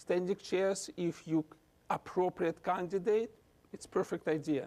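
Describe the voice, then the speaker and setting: In a Russian accent, a man speaks with a high pitch and a dark, mellow tone, the sound dry and close with no echo. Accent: non-native English, Russian. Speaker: physician and researcher. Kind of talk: lecture; answering audience questions. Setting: lecture hall with audience.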